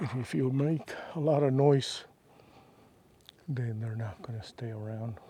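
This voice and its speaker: Soft-spoken and somewhat breathy, a man with a dark, mellow tone uses ordinary pitch variation and leaves long, frequent pauses. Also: medium pitch for a man, fairly slow pace. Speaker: hiking vlogger. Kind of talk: casual vlog monologue while hiking. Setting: outdoors on a desert trail. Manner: quiet, unhurried with fillers.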